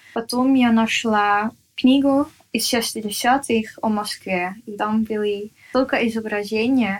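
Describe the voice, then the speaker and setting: The recording is very clean, with a silent background. A woman with a fairly high pitch speaks very slowly in fairly even intonation. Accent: Dutch. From Netherlands. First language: Dutch (speaking Russian). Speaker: artist. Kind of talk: interview. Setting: at home. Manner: halting.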